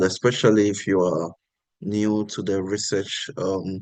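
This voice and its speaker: A man with an unremarkable speaking voice talks at a fairly slow pace and a fairly low pitch. The background is quiet. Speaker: workshop speaker. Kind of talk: panel remarks to online workshop.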